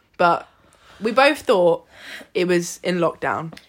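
A woman with a plain, everyday voice, fairly low pitch and ordinary pitch variation. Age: 20s. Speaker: podcast co-host, bodybuilder. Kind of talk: casual chat.

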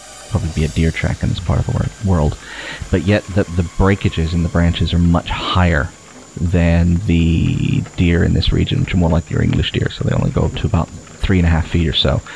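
At a very deep, low pitch, a man talks at a fairly quick pace with ordinary pitch variation and very even loudness, amid noticeable background noise. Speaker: game master running the tabletop role-playing game. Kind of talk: tabletop RPG session, casual banter and narration.

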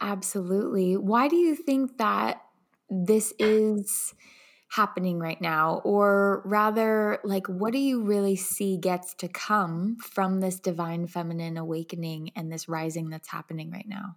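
A woman talks at a fairly slow pace, her medium pitch varying in an ordinary way. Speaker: podcast host and coach. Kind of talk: casual interview chat. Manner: enthusiastic.

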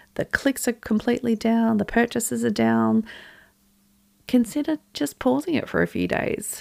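In a dry, close sound with no echo, a woman with an Australian accent talks at a moderate pace. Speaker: business podcast host. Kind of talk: solo podcast talk.

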